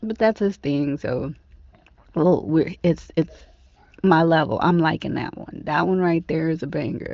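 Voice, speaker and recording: Using an ordinary speaking voice, a woman talks at a fairly slow pace with a fairly low pitch and ordinary pitch variation. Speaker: radio host. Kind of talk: casual dj patter between songs. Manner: warm, relaxed, chatty.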